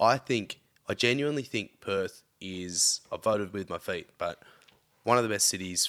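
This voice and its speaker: With an Australian accent, a man speaks at a fairly low pitch with ordinary pitch variation. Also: very clean recording, silent background. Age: 30s. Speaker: podcast guest, friend of host. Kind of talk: casual chat.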